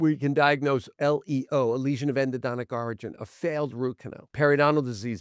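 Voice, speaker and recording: Against a quiet background, a man talks at a fairly quick pace with fairly even intonation, in a dry sound with no echo. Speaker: guest. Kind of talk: interview answer. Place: studio. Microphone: studio mic.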